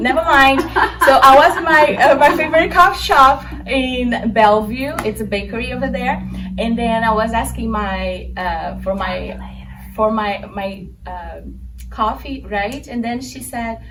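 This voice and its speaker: Audible room echo surrounds a woman speaking at a fairly slow pace with a Brazilian accent. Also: big swings in loudness. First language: Portuguese. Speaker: interviewer. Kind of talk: casual conversation.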